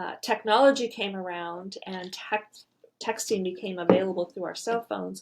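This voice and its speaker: A woman talks at a moderate pace in a normal speaking voice, with ordinary pitch variation and big swings in loudness. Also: medium pitch for a woman. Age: 60s. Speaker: marriage podcast co-host. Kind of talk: casual chat.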